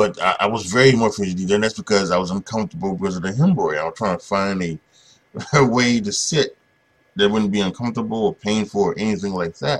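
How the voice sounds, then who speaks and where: Fairly low in pitch, a man speaks at a very fast pace with ordinary pitch variation. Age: 40s. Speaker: podcast host and YouTuber. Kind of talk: casual solo monologue. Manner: halting, many fillers and repetitions.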